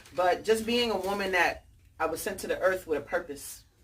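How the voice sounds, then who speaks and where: At a moderate pace, a woman speaks in an animated tone with a New York accent. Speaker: author and book fair founder. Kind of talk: talk to an audience.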